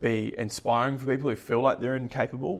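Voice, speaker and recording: With a New Zealand accent, a man is talking. His intonation is monotone and flat. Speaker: business owner. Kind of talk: podcast interview. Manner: hesitant, many filler words.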